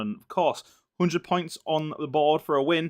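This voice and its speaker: Heard in a dry, close sound with no echo, a man with a Yorkshire accent and a fairly high pitch speaks at a moderate pace. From Yorkshire, northern England. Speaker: sim racing commentator. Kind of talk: live commentary. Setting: livestream commentary box. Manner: animated.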